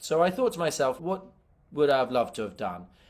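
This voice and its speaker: A man speaks very fast with lively intonation. The recording is very clean, with a silent background. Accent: British. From UK. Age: young. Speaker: adventurer and filmmaker. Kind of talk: interview.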